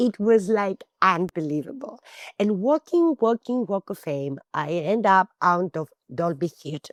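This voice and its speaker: Speaking at a fairly slow pace with a Greek accent, a woman uses a medium pitch, very wide pitch swings and an animated tone, heard in a dry, close sound with no echo. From Greece, small town. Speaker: actress and screenwriter. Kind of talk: interview storytelling.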